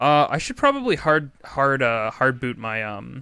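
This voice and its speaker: Bright and sharp in tone, the voice moves through ordinary pitch variation. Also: man. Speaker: video game streamer. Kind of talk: casual chat while gaming livestream.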